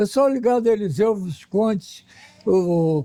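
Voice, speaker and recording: The voice has a dark, mellow tone and lively intonation at a fairly slow pace. The sound is dry and close, with no echo. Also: man. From Rio de Janeiro, Brazil. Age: 80s+. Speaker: painter, audience member. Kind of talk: interview testimonial.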